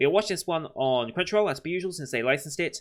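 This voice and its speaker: A man mumbles at a very fast pace with a British accent. His tone is bright and sharp, and his intonation is lively. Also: very clean recording, silent background. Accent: British, slurred words. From Britain. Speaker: anime reaction youtuber. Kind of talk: casual chat to camera. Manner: mumbling, words blurred together.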